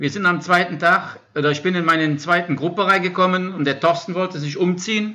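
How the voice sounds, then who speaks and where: Talking at a fairly quick pace with hardly any pauses, a high-pitched man keeps his intonation fairly even. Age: 50s. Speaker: support crew member for an ultra-cycling racer. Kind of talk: casual chat. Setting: shared laptop during work break. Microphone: shared microphone, good sound.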